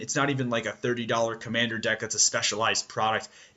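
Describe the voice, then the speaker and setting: A man's voice at a medium pitch. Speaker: magic card game player and video co-host. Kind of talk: casual video commentary. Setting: at home. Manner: fast.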